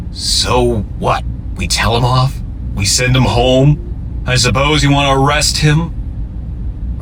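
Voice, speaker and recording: A man performs a put-on character voice at a fairly slow pace. Loud background noise runs behind him. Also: fairly low pitch for a man. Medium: audio drama. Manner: breezy, casual.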